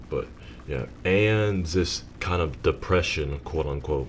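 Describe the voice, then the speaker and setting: Noticeable background noise runs under the audio. A man speaks at a very slow pace. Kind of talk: unscripted personal commentary. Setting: home recording with rain and thunder in background.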